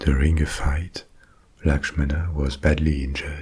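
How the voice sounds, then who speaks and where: Over noticeable background noise, a man speaks at a very slow pace in a calm tone, with a very deep, low pitch and monotone, flat intonation. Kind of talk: bedtime ASMR story narration. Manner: calm, soft, slow.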